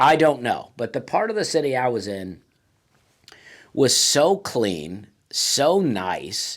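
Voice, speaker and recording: On a very clean recording with a silent background, a man speaks very slowly with long, frequent pauses. His fairly high voice carries vocal fry and very wide pitch swings. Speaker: stand-up comedian. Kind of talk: casual talk to camera, comedic monologue. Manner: laid-back, humorous, conversational.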